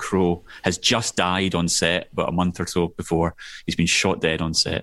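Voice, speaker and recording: A man speaks with a Scottish accent. The background is quiet. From Scotland, Glasgow area. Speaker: filmmaker. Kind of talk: casual interview chat. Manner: animated.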